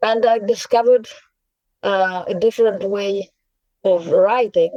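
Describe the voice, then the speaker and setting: Speaking at a fairly slow pace, a woman has a medium pitch, a dark, mellow tone and ordinary pitch variation, with a dry, close sound and no echo. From Russia, Saint Petersburg. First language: Russian. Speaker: poet and translator. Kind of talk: interview. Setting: podcast. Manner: halting, many fillers.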